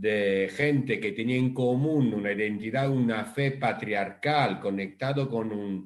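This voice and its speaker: Speaking in an Italian accent, a man keeps his voice at a medium pitch. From Italy. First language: Italian (speaking Spanish). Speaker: rabbi. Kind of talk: online panel talk.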